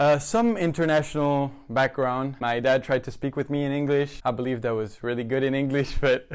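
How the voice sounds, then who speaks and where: A man speaks with a French accent at a medium pitch. His intonation stays fairly even. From France. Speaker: recent high school graduate. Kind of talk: interview.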